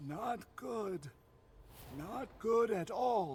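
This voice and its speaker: A man's high-pitched, put-on character voice. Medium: video game. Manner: blunt, profane.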